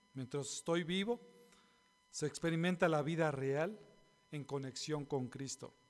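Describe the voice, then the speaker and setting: Speaking at a fairly slow pace, a man talks in a fairly high pitch. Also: long, frequent pauses. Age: 50s. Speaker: pastor. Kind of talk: sermon.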